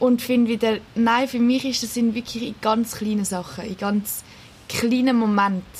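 A woman's fairly high voice at a moderate pace, monotone and flat, against noticeable background noise. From Switzerland, Küsnacht near Zurich. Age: 20s. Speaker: teaching assistant. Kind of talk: casual interview.

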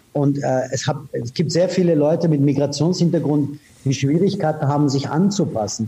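A somewhat breathy male voice, fairly high in pitch, with a dark, mellow tone. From Iran, raised in Austria from age 15. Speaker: advertising executive. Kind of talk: interview. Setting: remote call. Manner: direct.

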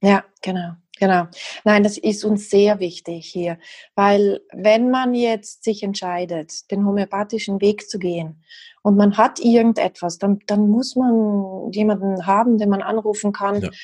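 A woman with a slight South Tyrolean accent and medium pitch, her tone dark and mellow and somewhat breathy, at a fairly slow pace with fairly even intonation against a quiet background. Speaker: homeopath. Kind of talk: interview.

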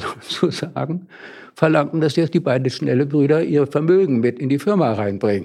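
Lively in intonation, a man speaks with a dark, mellow tone at a fairly high pitch. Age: 80s+. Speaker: retired organisation consultant and artist. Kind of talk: interview. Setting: studio.

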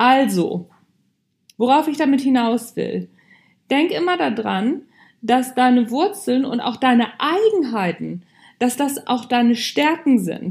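At a very slow pace with long, frequent pauses, a woman talks in a high pitch. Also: lively intonation. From Hamburg, northern Germany. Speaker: podcast host, leadership coach. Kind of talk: motivational monologue. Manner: casual, conversational.

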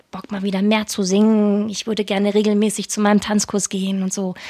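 Monotone, flat intonation from a woman, her voice at a medium height. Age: 30s. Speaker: podcast host. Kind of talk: casual chat.

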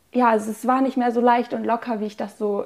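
A woman speaks at a very fast pace with a dark, mellow tone and fairly high pitch. Her intonation stays monotone and flat. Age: 20s. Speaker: student sharing eating disorder recovery story. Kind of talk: personal testimony in interview.

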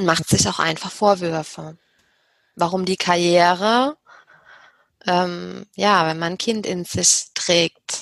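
Speaking at a very slow pace with long, frequent pauses, a woman uses a fairly low pitch, and the sound is dry and close with no echo. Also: ordinary pitch variation. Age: 30s. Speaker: business psychologist and HR consultant. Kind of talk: interview.

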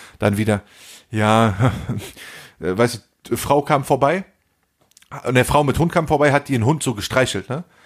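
At a fairly slow pace, a man speaks at medium pitch with an animated tone and ordinary pitch variation. Long pauses come often on a very clean recording with a silent background. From Germany. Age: 40s. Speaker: podcast co-host. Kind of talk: casual chat.

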